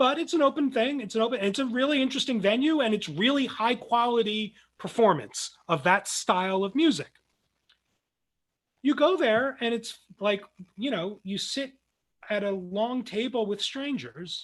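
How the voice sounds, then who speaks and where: An extremely high-pitched man with a New Jersey accent, lively intonation and a moderate pace. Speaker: philosophy professor. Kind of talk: lecture. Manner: many fillers and restarts.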